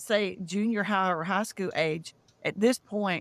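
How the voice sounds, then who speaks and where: A Southern US accent at a very slow pace, with ordinary pitch variation. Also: woman. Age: 60s. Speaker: UFO contactee, disclosure founder. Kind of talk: interview testimony.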